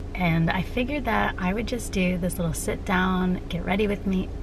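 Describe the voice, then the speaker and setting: Noticeable background noise runs under the clip. A woman speaks with ordinary pitch variation. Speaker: vlogger. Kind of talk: casual vlog chat. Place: car. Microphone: phone near.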